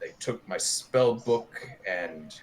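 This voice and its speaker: A man puts on a character voice at medium pitch. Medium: actual play. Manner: halting, confused.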